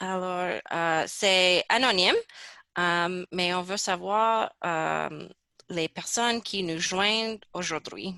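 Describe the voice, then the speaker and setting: A woman with an English accent and a bright, sharp tone, medium in pitch, at a very slow pace with ordinary pitch variation. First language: English (speaking French). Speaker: research project coordinator. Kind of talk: webinar presentation. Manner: halting.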